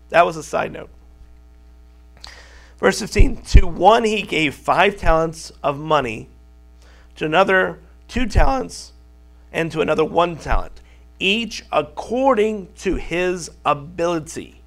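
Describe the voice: With a fairly bright tone and some vocal fry, a man talks at a fairly slow pace, using lively intonation and long, frequent pauses.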